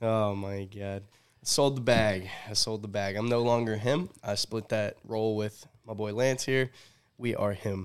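Against a silent background in a very clean recording, a man with a normal speaking voice talks at a fairly slow pace, his fairly low pitch held in fairly even intonation. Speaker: sports podcast host. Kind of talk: casual chat.

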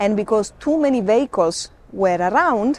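A woman with an Italian accent speaks at a moderate pace in a fairly high pitch, her intonation lively. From Sicily, Italy. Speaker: safari guide. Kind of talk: interview. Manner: halting.

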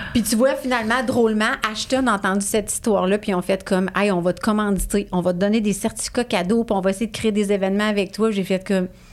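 A woman speaks very fast at a medium pitch, with hardly any pauses. Her intonation stays fairly even. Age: 40s. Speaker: positive psychology coach. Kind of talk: casual chat.

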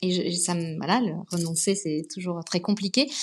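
A woman is speaking. Her pace is moderate. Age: 30s. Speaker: literary agent. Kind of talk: interview. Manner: hesitant.

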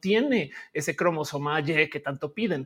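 On a very clean recording with a silent background, a man with a high pitch speaks fairly slowly with ordinary pitch variation. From Colombia, Bogotá. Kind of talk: interview.

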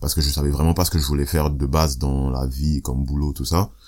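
Noticeable background noise behind a fairly quick male speaker. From Italy (Rome), born in Ivory Coast. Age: 20s. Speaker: rapper and singer. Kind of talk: casual interview chat.

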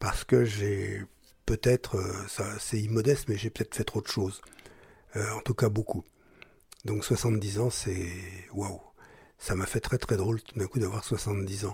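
A man's fairly low, dark, mellow voice comes through somewhat breathy, with fairly even intonation, at a fairly slow pace. Long, frequent pauses break up the dry, close sound with no echo. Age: 70s. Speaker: journalist and writer. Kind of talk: personal testimony.

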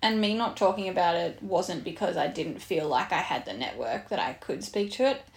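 On a very clean recording with a silent background, a woman with an Australian accent talks at a fairly quick pace with hardly any pauses. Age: 30s. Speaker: podcast host, fitness coach. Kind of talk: casual chat.

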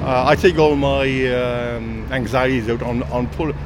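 Noticeable background noise and audible room echo both surround this man's voice. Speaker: retired computer technician. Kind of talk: casual chat. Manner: halting.

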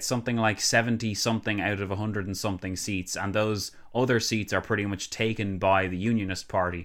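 A man with an Irish accent and a bright, sharp tone, at a fairly quick pace, on a very clean recording with a silent background. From Ireland. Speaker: political commentator. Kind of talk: casual chat.

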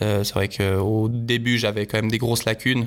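There is noticeable background noise behind this man. His medium-pitched delivery is monotone and flat, at a moderate pace. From Switzerland. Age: 30s. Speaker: professional skicross athlete. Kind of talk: interview. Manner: halting, many fillers and repetitions.

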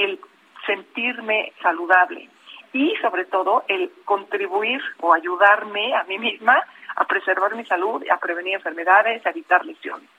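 Over noticeable background noise, a woman talks at a fairly slow pace with a medium pitch and ordinary pitch variation. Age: 50s. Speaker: open-water swimmer and lawyer. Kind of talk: radio interview.

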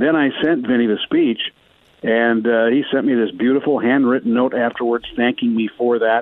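Monotone and flat, a man speaks at a medium pitch and a moderate pace. His loudness stays very even. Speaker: play-by-play broadcaster. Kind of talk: casual chat. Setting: phone call.

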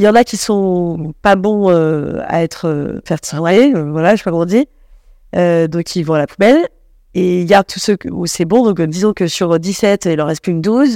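The voice has a dark, mellow tone and ordinary pitch variation, with a dry, close sound with no echo. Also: woman, fairly low pitch for a woman, moderate pace. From Paris. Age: 30s. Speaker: comedian. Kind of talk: casual chat. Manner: halting.

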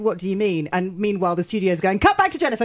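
A woman with a British accent at medium pitch, talking at a very fast pace. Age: 40s. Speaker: TV critic and journalist. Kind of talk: casual chat. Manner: animated.

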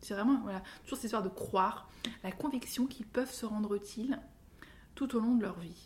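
Speaking at a fairly quick pace with long, frequent pauses, a woman uses a fairly high pitch and ordinary pitch variation. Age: 40s. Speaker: author and creativity consultant. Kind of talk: interview. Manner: halting.

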